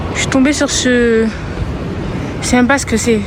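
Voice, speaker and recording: Fairly even intonation over noticeable background noise, with audible room echo. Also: woman. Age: 20s. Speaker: travel vlogger. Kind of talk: casual vlog narration. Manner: casual, chatty.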